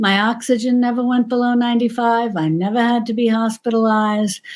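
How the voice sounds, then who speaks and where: In an American accent, a woman uses an ordinary speaking voice, fairly high in pitch and moderate in pace, on a very clean recording with a silent background. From New York. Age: 60s. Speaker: cooking channel creator. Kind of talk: casual interview chat.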